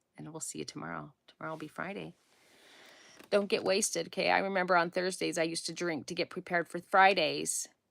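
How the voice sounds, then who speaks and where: Very fast speech with an American accent and big swings in loudness, in a very clean recording with a silent background. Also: woman. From Utah. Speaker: faith and self-help livestream host. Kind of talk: casual livestream chat. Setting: home basement livestream. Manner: casual, chatty.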